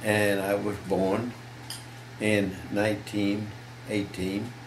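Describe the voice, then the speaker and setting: A man's monotone, flat voice at a very slow pace, with audible room echo and noticeable background noise. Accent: American. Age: 90s. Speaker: war veteran. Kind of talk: interview. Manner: halting.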